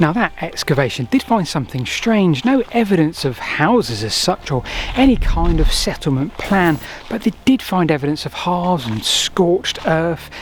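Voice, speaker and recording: A man is whispering at a moderate pace against noticeable background noise. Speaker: history and landscape YouTuber. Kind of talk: walking tour vlog narration. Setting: outdoors in woodland.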